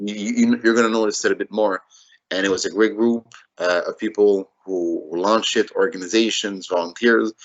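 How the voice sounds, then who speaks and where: A man with a Quebec accent speaks at a moderate pace. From Montreal North, Quebec. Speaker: city council candidate. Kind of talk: interview.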